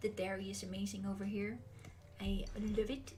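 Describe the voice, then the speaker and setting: Noticeable background noise and audible room echo fill the space around a woman talking. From Netherlands. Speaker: streamer. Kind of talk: livestream Q&A chat. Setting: livestream. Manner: hesitant fillers.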